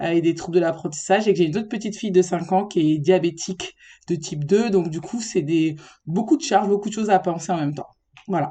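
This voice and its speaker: A woman with a fairly low pitch and a dark, mellow tone talks at a very fast pace with ordinary pitch variation against a quiet background. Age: 30s. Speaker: special-needs educator, podcast guest. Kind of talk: casual interview chat.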